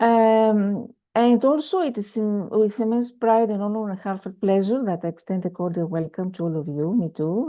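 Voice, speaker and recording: Here a woman speaks with a Greek accent. She keeps a moderate pace and ordinary pitch variation. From Greece. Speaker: conference speaker, researcher. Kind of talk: conference keynote presentation. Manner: hesitant with many fillers.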